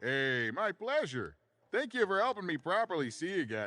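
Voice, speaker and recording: A man's put-on character voice, high-pitched, with very wide pitch swings, at a moderate pace. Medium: video game. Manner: giggly, enthusiastic.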